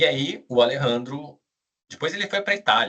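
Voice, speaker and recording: This is a man speaking. His intonation is lively. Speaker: business school director, former auditor. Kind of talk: live webinar presentation. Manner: casual.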